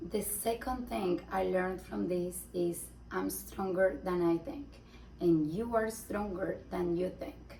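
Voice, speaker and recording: Against noticeable background noise, a woman speaks at a very slow pace in a Spanish accent. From Colombia. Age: 20s. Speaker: mom vlogger. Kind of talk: personal testimony vlog. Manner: halting, searching for words.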